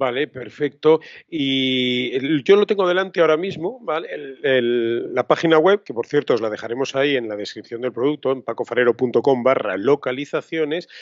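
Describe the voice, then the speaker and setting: A man talks at a moderate pace with hardly any pauses and ordinary pitch variation, the sound dry with no echo over a quiet background. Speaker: podcast host, photography teacher. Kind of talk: casual chat. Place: home room. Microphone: studio mic.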